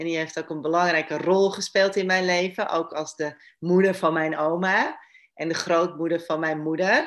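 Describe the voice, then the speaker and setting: A woman speaks in a fairly low voice with monotone, flat intonation. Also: moderate pace. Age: 50s. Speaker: relationship therapist. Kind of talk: interview. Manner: halting, many repetitions.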